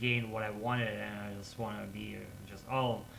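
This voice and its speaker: Speech at a moderate pace comes with audible room echo and noticeable background noise. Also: man. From Russia. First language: Russian. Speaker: English learner vlogger. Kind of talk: casual monologue vlog. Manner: halting, with repetitions and fillers.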